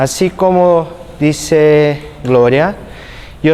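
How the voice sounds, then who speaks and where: A man with a Brazilian accent speaks at a fairly high pitch amid noticeable background noise. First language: Portuguese (speaking Spanish). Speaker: physiotherapy instructor. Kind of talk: lecture.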